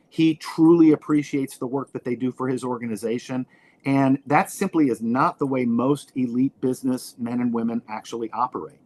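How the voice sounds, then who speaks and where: A man talks at a fairly quick pace with fairly even intonation, in a normal speaking voice. The sound is dry and close, with no echo. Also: medium pitch for a man. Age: 60s. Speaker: professor. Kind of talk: casual chat.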